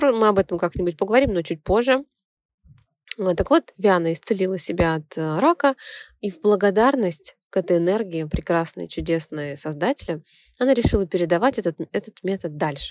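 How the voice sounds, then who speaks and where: A woman talks in an unremarkable speaking voice at a medium pitch and a moderate pace with lively intonation. The sound is dry and close, with no echo. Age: 30s. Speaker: radio host and theta healing instructor. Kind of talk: radio talk monologue.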